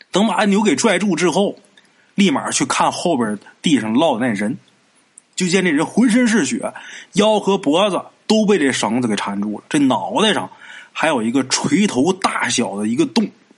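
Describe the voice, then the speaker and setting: Using very wide pitch swings, a man with a high pitch talks at a moderate pace. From Northeast China, Haicheng, Liaoning. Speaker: podcast storyteller. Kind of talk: storytelling narration. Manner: casual, conversational.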